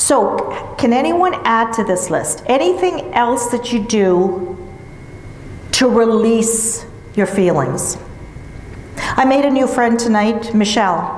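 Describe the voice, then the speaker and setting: Speaking very slowly with lively intonation and long, frequent pauses, the voice keeps a very even loudness over noticeable background noise and audible room echo. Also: woman, fairly high pitch for a woman. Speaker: grief counsellor. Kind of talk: seminar talk.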